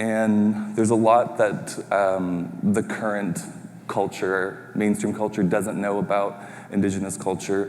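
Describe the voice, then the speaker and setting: Noticeable background noise sits behind a man with a Canadian accent. He talks fairly slowly at a fairly low pitch with monotone, flat intonation. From Red Lake, Ontario, Canada (Ojibwe). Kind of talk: pitch presentation. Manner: hesitant, many fillers.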